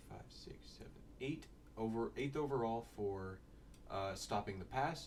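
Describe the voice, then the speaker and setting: The speech moves at a fairly slow pace. There is audible room echo. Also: man. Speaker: sports draft analyst. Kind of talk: casual solo commentary. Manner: halting.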